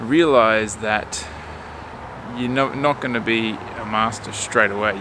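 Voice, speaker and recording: In an Australian accent, a man speaks at a fairly slow pace and medium pitch with ordinary pitch variation, amid audible room echo and noticeable background noise. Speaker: vlogger. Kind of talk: casual vlog talk to camera. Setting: outdoors. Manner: casual, hesitant with fillers.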